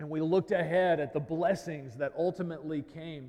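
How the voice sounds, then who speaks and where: This man has an unremarkable speaking voice, fairly high in pitch, moving at a moderate pace with fairly even intonation. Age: 30s. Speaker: pastor. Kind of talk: sermon.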